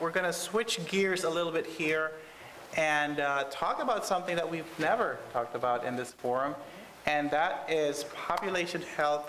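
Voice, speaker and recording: Moderately paced speech with ordinary pitch variation, audible room echo and noticeable background noise. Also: man. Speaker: conference moderator. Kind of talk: panel moderation. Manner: loud. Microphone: speaking without a mic at first.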